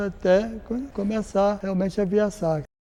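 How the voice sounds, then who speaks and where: A man speaks in a high pitch. Noticeable background noise is present. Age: 70s. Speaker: parishioner, passion play volunteer. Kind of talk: testimony.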